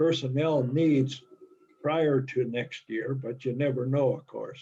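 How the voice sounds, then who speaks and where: The speech moves at a very slow pace in a monotone, flat intonation. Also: man. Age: 90s. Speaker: society officer at members meeting. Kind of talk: business meeting discussion.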